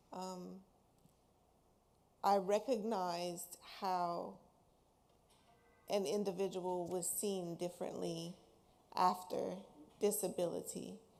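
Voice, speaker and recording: Music plays in the background as a woman speaks very slowly in a monotone, flat intonation. She leaves long, frequent pauses. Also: medium pitch for a woman. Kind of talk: panel discussion. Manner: loud.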